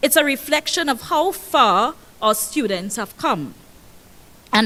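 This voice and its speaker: A loud woman with a Tobagonian accent, high pitch, bright, sharp tone, very wide pitch swings and a fairly slow pace. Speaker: school principal. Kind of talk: ceremony speech. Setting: stage with audience. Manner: animated.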